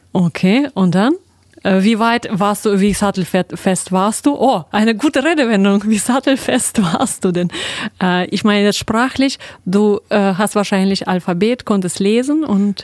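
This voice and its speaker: A woman with an ordinary speaking voice, medium in pitch with ordinary variation, at a fairly slow pace and very even loudness. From Russia. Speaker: radio host. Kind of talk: radio interview. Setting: studio.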